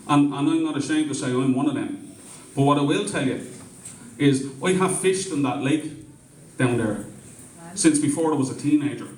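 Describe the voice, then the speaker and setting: A man with a Dublin accent speaks at a fairly high pitch with ordinary variation and long, frequent pauses, amid audible room echo and noticeable background noise. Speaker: community meeting organiser. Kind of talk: public speech at community meeting. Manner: impassioned, repetitive.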